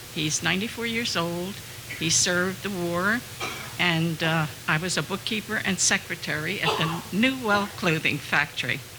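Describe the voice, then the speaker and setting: A woman with an American accent, fairly low in pitch, at a moderate pace with ordinary pitch variation and very even loudness, against noticeable background noise. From New Jersey, Hamilton. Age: 80s+. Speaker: former bookkeeper. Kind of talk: personal testimony.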